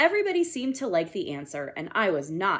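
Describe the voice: The clip consists of plain reading aloud.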